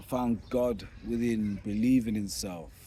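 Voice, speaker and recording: Very slowly, a man speaks in a dark, mellow tone with ordinary pitch variation. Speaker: vlogger and rapper. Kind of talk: casual monologue. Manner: informal, conversational with fillers.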